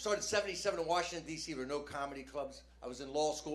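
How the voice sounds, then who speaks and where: A man at a very fast pace, fairly high-pitched, with lively intonation, audible room echo and noticeable background noise. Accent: American. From New Jersey. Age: 60s. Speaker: stand-up comedian. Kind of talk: stand-up. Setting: stage with audience. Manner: animated.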